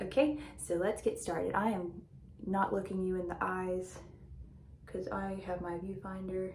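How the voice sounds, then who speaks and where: A woman speaks at a fairly slow pace and a medium pitch, with long, frequent pauses and audible room echo. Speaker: beauty vlogger. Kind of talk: casual chat. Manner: loud.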